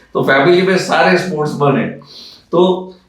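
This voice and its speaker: A man talks at a high pitch. Noticeable background noise and audible room echo surround him. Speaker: aviation company founder and pilot. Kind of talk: interview. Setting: studio. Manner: halting.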